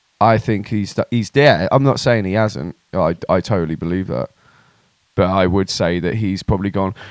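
At a moderate pace, a man with a plain, everyday voice speaks at a fairly low pitch with ordinary pitch variation in a dry, close sound with no echo. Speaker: podcast co-host. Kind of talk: casual comedic banter. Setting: studio. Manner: joking, playful.

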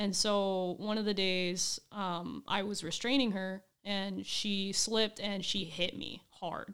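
At a very slow pace, a woman talks at medium pitch with fairly even intonation. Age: 20s. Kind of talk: casual chat.

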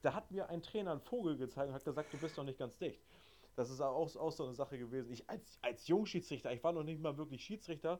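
Very fast speech comes from a man with a dark, mellow tone. His pitch is fairly high, with ordinary variation. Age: 20s. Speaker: amateur football referee. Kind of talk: casual chat.

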